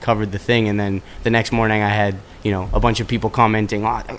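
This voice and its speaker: At a very fast pace, a man delivers his words with fairly even intonation. His pitch sits fairly low. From Canada, Toronto. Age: 20s. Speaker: musician. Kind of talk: interview. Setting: studio.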